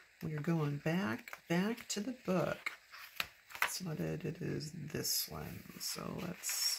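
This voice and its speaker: A quiet woman talks at a very slow pace against noticeable background noise. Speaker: planner decorating video creator. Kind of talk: casual crafting commentary.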